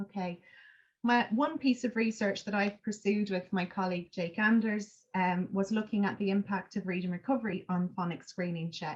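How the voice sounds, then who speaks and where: A woman with a medium-pitched, somewhat breathy voice talks at a moderate pace with ordinary pitch variation. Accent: Irish. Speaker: education researcher. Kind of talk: academic seminar talk. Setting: seminar. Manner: hesitant, many fillers.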